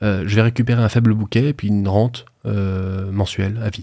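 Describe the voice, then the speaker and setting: Fairly even in intonation, a man speaks at a fairly low pitch. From France, Haute-Savoie. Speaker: financing consultant. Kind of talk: podcast interview, explaining. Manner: hesitant, many fillers.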